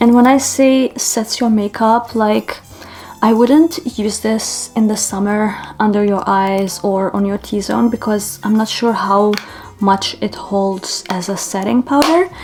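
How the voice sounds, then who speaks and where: A woman speaks at a fairly slow pace with a non-native accent, her pitch fairly high. Music plays in the background. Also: ordinary pitch variation. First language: not English. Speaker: beauty vlogger. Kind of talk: makeup tutorial, casual chat. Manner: casual, chatty.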